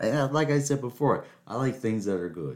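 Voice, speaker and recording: A man speaks here. His tone is animated. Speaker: podcast host. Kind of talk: casual solo monologue. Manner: rambling, animated.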